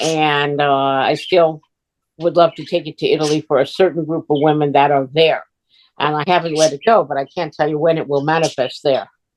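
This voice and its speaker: A woman's very deep, low voice at a fairly quick pace, fairly even in intonation, with a dry, close sound and no echo. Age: 70s. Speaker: transformational coach and relationship counselor. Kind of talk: casual interview chat.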